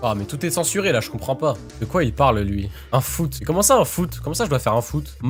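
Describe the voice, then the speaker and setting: Music plays behind a man whose medium-pitched voice swings very widely in pitch as he speaks at a fairly quick pace. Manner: confused, incredulous.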